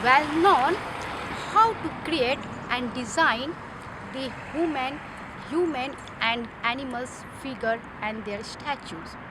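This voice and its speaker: Speaking very slowly in a raised, projected voice, a woman with a non-native accent uses a high pitch, lively intonation and long, frequent pauses. Audible room echo and noticeable background noise are present. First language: not English. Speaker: ESL student. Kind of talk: class presentation. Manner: halting.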